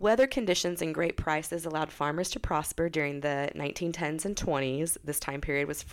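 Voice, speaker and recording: At a moderate pace, a woman with an American accent and a very deep, low pitch speaks over noticeable background noise. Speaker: podcast host. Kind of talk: casual chat.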